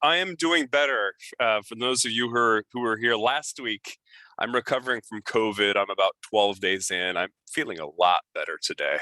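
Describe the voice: Putting on a raspy character voice, a man speaks at a medium pitch and moderate pace with lively intonation.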